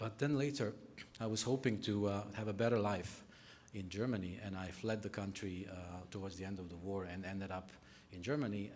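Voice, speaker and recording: A man with a Bosnian accent, fairly low pitch and a fairly quick pace, with audible room echo. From Bosnia, Sarajevo. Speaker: nonprofit sector speaker. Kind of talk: conference talk. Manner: halting.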